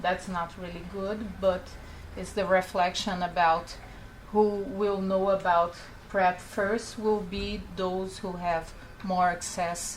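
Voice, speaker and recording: With audible room echo, a woman speaks at a medium pitch and a very slow pace in a monotone, flat intonation. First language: not English. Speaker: public health researcher. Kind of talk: conference presentation. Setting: panel event. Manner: halting.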